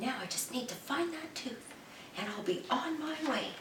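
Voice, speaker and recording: A woman's put-on character voice, high-pitched and at a moderate pace, with clear background noise and a slight echo. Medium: read story. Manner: earnest, small and soft.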